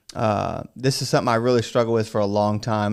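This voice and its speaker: An unremarkable speaking voice at a fairly quick pace with fairly even intonation, very clean recording, silent background. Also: man. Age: 30s. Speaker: podcast host. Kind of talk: casual chat.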